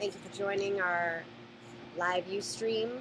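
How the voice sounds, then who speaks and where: Noticeable background noise sits behind a woman with an American accent who speaks with ordinary pitch variation. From Boston area, Massachusetts. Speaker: storage auction buyer. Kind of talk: live Q&A. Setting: live stream.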